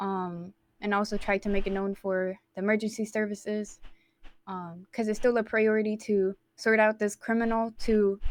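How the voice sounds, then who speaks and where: In a very clean recording with a silent background, a woman speaks at a moderate pace with a medium pitch and a monotone, flat intonation. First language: not English. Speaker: roleplay police job applicant. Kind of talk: job interview. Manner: halting.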